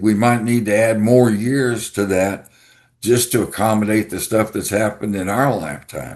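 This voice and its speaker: With a Texan accent, a man speaks at a fairly low pitch. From Texas. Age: 70s. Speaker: writer. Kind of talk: podcast interview. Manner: halting.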